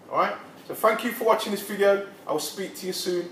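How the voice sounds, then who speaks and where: Light background noise and audible room echo behind a man's voice. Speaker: personal trainer. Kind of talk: casual promotional talk to camera. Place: gym. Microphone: camera far.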